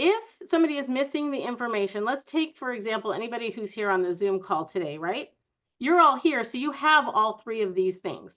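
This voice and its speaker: A woman's fairly high, bright, sharp voice, animated in tone, with very wide pitch swings at a fairly quick pace. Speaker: educational psychologist, seminar speaker. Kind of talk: online presentation to parents. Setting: video call. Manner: fast.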